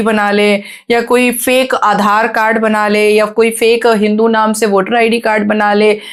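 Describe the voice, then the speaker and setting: In an animated tone, a woman speaks at a fairly high pitch. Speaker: podcast guest, activist. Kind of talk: podcast interview. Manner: fluent, flowing.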